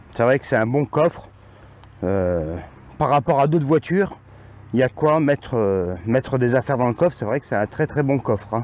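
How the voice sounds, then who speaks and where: Recorded dry with no echo, a man speaks at a moderate pace with long, frequent pauses. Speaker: amateur car reviewer. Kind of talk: car review walkaround commentary. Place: street. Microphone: phone near.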